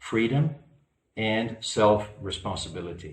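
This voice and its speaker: The man's voice is somewhat breathy and fairly low in pitch, and he speaks at a fairly slow pace. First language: not English. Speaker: spiritual lecturer. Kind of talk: lecture. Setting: online virtual conference. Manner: halting, many fillers.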